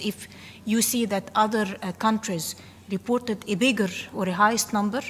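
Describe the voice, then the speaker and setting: Breathing a little into her words, a woman talks at a fairly quick pace. Her intonation stays fairly even. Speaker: government statistics delegate. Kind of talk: workshop discussion remark.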